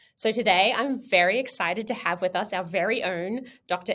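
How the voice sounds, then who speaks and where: Her tone is bright, sharp and animated. This woman talks at a moderate pace with a fairly high pitch. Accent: Australian. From Australia. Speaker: podcast host, astronomer. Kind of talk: interview.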